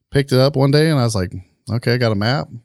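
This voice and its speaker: With lively intonation, a man speaks in an American accent on a very clean recording with a silent background. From Marion, Indiana, US Midwest. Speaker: military veteran and security business owner. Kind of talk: casual interview. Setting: studio.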